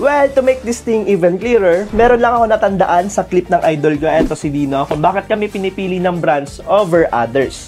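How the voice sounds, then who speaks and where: Over music in the background, a man talks at a fairly quick pace in an animated tone, his high pitch moving with lively intonation. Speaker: tech vlogger. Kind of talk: casual unboxing vlog.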